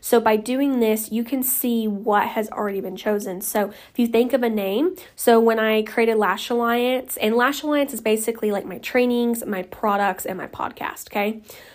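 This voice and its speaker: With an American accent, a woman with an unremarkable speaking voice and fairly high pitch talks at a moderate pace with hardly any pauses and big swings in loudness, on a very clean recording with a silent background. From Oklahoma. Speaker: lash studio owner and educator. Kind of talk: solo podcast tutorial. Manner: casual, filler-heavy.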